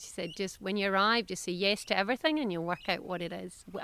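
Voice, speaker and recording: With a Scottish accent, a woman speaks at a fairly quick pace. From south-west Scotland. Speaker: veterinarian and business owner. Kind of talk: interview. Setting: podcast. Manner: animated.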